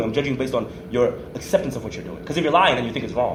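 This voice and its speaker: Amid noticeable background noise and audible room echo, a man talks very fast with lively intonation. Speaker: podcast host. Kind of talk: casual chat. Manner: loud.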